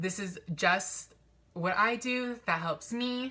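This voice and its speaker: A woman with a bright, sharp tone speaks with ordinary pitch variation. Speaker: vlogger. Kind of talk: personal vlog confession. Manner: mumbling, stumbling over words.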